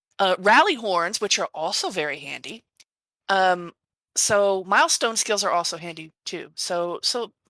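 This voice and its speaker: Medium-pitched woman with a Southern US accent, a bright, sharp tone, lively intonation and a moderate pace, on a very clean recording with a silent background and a dry, close sound with no echo. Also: big swings in loudness. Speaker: podcast co-host. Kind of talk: casual chat.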